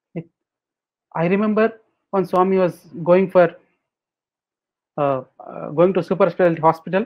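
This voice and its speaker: Speaking with a Telugu accent, a man with a high pitch talks at a moderate pace with fairly even intonation and long, frequent pauses. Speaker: spiritual speaker. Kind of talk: webinar Q&A.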